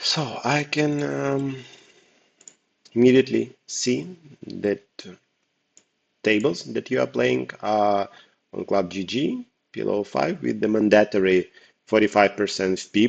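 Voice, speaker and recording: A non-native accent with very wide pitch swings, a fairly slow pace and long, frequent pauses. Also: man. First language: not English. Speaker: poker coach. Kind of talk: tutorial. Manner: hesitant, with fillers.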